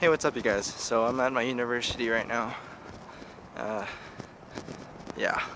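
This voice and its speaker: A man with an American accent speaks at a moderate pace and medium pitch, his intonation fairly even, with long, frequent pauses over noticeable background noise. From New Mexico, US Southwest. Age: 20s. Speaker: YouTuber and freelance videographer. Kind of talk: casual vlog to camera. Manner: casual, hesitant with fillers.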